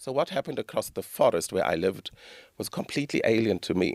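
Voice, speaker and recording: A man speaks with a South African accent. The sound is dry and close, with no echo. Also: very clean recording, silent background. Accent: South African, unchanged since childhood. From South Africa, Durban. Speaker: author. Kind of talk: interview.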